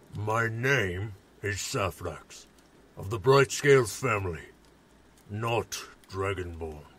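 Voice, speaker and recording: Using a put-on character voice, a man speaks at a fairly low pitch with long, frequent pauses. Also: fairly slow pace. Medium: audio drama. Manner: calm, formal.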